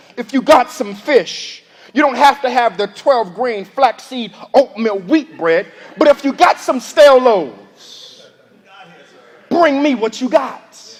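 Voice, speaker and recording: Over noticeable background noise, a man with an extremely high pitch talks with lively intonation and an energetic tone. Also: fairly slow pace. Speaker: preacher. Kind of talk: sermon delivered to a congregation. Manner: energetic, conversational, preaching.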